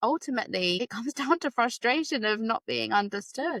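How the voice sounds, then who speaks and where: A woman with a British accent, fairly high in pitch and fairly quick in pace, in a very clean recording with a silent background and a dry, close sound with no echo. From UK. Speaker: special education teacher, podcast host. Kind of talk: casual interview chat.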